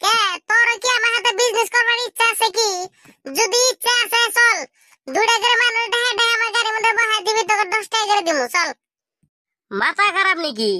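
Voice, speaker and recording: At an extremely high pitch, this squeaky, cartoonish character voice moves at a moderate pace. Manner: pushy, insistent.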